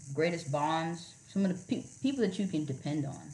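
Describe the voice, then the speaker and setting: A woman with an American accent talks, and audible room echo follows her words. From Miami, Florida. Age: 30s. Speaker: Coast Guard officer. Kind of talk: casual interview. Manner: animated.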